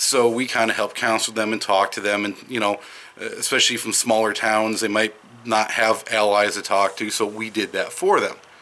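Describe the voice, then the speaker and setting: A man speaks in a bright, sharp tone with monotone, flat intonation and a slight Wisconsin accent. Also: medium pitch for a man, moderate pace. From Madison, Wisconsin. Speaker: vlogger. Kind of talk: casual monologue. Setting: outdoors. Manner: hesitant, with fillers.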